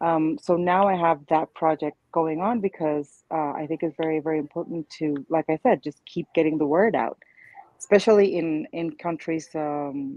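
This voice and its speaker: With a Spanish accent, a woman speaks at a moderate pace in a very deep, low pitch with ordinary pitch variation. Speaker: childfree advocate, online community founder. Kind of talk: panel discussion.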